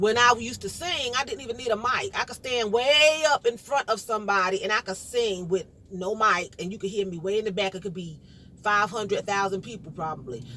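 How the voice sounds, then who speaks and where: A loud voice in a New York accent moves at a fairly quick pace with lively intonation. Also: woman, fairly high pitch for a woman. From New York, Brooklyn. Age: 50s. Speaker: vlogger. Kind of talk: casual monologue. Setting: in a car.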